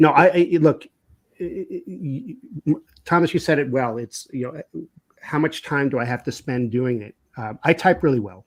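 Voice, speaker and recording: With lively intonation and big swings in loudness, a man speaks at a fairly high pitch. His pace is moderate, broken by long, frequent pauses. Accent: New York. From New York. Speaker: business consultant. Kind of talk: casual interview conversation. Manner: halting, many repetitions.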